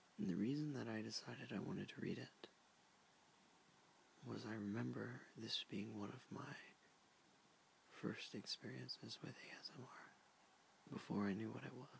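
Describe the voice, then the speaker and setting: In a whisper, someone speaks at a moderate pace with long, frequent pauses. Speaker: ASMR creator. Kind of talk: ASMR talk to camera. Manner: soft-spoken.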